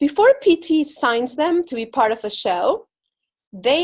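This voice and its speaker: A woman with an Argentine accent speaks fairly slowly with lively intonation against a quiet background. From Argentina. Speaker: spiritual speaker and visibility coach. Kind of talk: inspirational talk. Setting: spiritual center stage with audience.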